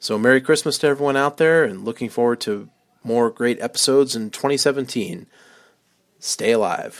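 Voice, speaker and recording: In a very clean recording with a silent background, a man speaks in an ordinary speaking voice at a moderate pace, his medium pitch showing ordinary variation. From US West Coast, Long Beach, California. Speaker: podcast listener. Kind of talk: recorded voice message.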